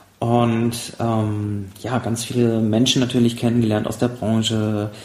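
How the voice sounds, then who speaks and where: Amid noticeable background noise, a man at a medium pitch speaks with monotone, flat intonation. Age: 30s. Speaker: pilot and former paralympic sailor. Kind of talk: casual interview. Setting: half-emptied apartment.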